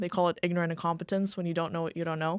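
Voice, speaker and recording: With a slight Moldovan accent, a woman talks in a fairly low pitch. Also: very clean recording, silent background. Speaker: insurance agency owner. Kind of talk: podcast interview. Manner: animated.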